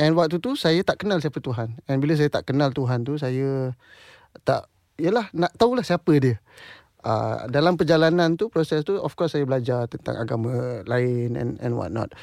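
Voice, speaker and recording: Recorded very cleanly against a silent background with a dry, close sound and no echo, a man with a normal speaking voice talks at a moderate pace, his pitch fairly high and his intonation lively. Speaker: singer and composer. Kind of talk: interview. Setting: studio.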